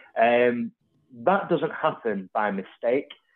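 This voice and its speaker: Ordinary pitch variation from a man, medium in pitch, in an unremarkable speaking voice. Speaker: podcast host. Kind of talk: casual chat.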